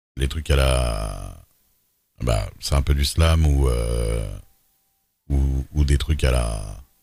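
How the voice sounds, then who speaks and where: Pitched very deep and low, a man's voice holds fairly even intonation. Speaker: streamer, roleplay gamer. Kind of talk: casual chat. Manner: hesitant, many fillers.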